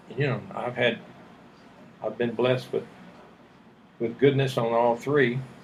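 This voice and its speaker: Over noticeable background noise, a man speaks at a fairly slow pace in a medium voice with monotone, flat intonation. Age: 70s. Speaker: retired army general. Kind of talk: casual interview about life story.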